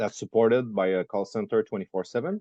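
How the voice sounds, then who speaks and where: A man speaks with a French Canadian accent at a fairly low pitch. His tone is dark and mellow, and the sound is dry and close with no echo. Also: quiet background. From Quebec. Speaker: entrepreneur. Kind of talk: interview. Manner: halting.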